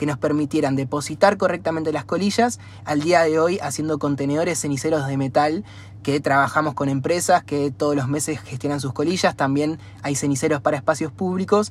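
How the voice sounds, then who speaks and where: Somewhat breathy and fairly high, a man's voice moves at a fairly quick pace with lively intonation. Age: 20s. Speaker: environmental NGO founder. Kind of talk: interview.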